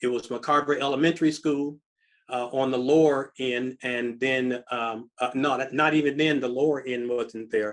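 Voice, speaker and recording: A man at a medium pitch and moderate pace with an American accent and monotone, flat intonation. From Tacoma, Washington, US. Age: 70s. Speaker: imam and community elder. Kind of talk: interview. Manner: halting, many fillers.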